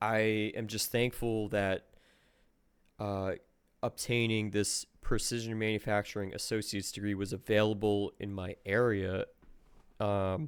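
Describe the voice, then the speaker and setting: With long, frequent pauses, a man speaks fairly slowly in a fairly low, monotone, flat voice on a very clean recording with a silent background. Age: 20s. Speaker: machinist. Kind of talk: casual monologue vlog. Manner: hesitant, many fillers.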